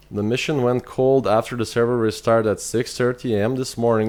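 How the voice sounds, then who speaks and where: This is a man speaking. He keeps a fairly slow pace. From Lithuania. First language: Lithuanian. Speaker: video game streamer. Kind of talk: live gameplay stream chat. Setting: live stream. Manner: halting, many repetitions.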